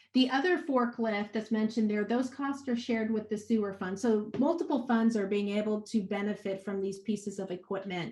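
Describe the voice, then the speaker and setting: A fairly high-pitched, somewhat breathy woman's voice with ordinary pitch variation over a quiet background. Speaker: city finance official presenting budget. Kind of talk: budget presentation at remote council meeting. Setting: remote meeting. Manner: halting, many fillers.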